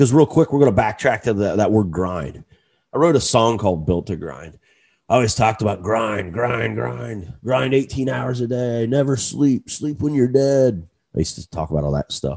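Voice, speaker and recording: Lively intonation from a man with an unremarkable speaking voice, medium pitch and a moderate pace. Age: 40s. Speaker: podcast host. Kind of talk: solo motivational monologue. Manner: casual, with frequent fillers and repetitions.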